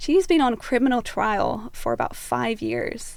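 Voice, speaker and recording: A woman speaks with a Scottish accent. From Scotland. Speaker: activist and commentator. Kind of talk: podcast interview.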